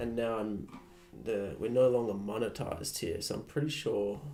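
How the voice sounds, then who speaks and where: The speech has vocal fry and moves at a moderate pace. Audible room echo surrounds it. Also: man. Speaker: live streamer. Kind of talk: casual live-stream chat. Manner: casual, rambling with fillers.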